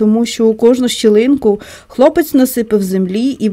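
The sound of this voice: The voice reads in an unforced way. It is a simple read.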